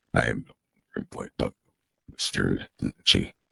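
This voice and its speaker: A man uses a put-on character voice at a fairly slow pace, recorded with a dry, close sound and no echo. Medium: game stream.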